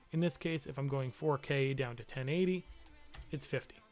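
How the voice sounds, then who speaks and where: Music plays behind a man who talks fairly quickly at a fairly high pitch with ordinary pitch variation. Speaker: teacher. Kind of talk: livestreamed class tutorial. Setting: live stream. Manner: casual, hesitant with fillers.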